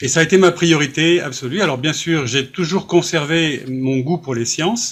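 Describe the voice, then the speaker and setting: A man uses an ordinary speaking voice with ordinary pitch variation, talking at a moderate pace. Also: fairly high pitch for a man. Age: 60s. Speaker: author. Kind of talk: interview.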